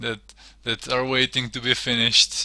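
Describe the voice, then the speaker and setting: A man with a Serbian accent speaks in a monotone, flat intonation. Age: 30s. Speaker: digital artist streamer. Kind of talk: casual chat. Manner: halting.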